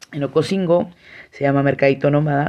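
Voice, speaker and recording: A woman speaks with a warm, enthusiastic tone and a very deep, low pitch. Her pitch varies in an ordinary way against a quiet background. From Mexico, San Cristóbal de las Casas, Chiapas. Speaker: podcast host. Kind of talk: solo podcast monologue.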